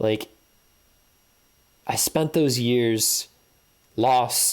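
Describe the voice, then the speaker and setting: Using a plain, everyday voice, a man speaks at a medium pitch with fairly even intonation. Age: 30s. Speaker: video blogger. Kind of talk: personal monologue.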